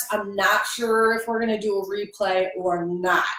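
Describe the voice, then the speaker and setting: A woman's voice comes with audible room echo. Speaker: online business coach. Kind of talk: live stream tutorial. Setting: at home.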